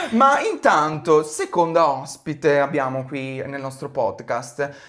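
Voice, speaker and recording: Speech comes at a very slow pace amid noticeable background noise. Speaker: podcast host. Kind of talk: casual podcast chat.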